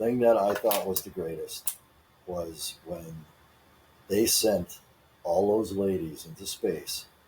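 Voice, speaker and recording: Long, frequent pauses break up the speech. A man talks at a very slow pace. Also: big swings in loudness. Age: 60s. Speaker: podcast co-host. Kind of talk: casual chat.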